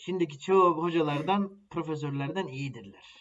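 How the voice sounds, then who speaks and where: A man speaking at a very slow pace. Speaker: podcast co-host. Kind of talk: casual chat.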